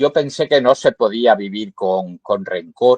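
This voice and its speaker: The man's medium-pitched voice has a dry, close sound with no echo. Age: 70s. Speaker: poet. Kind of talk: interview. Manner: halting, many fillers.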